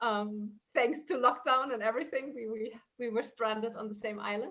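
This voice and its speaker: A woman with a fairly high pitch speaks at a moderate pace with fairly even intonation. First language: German and Italian. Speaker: transformational coach. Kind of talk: interview conversation.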